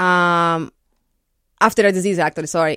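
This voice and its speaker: In a Portuguese accent, the speaker uses fairly even intonation on a very clean recording with a silent background and a dry, close sound with no echo. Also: woman. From Brazil. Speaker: architect. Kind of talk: radio interview. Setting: studio.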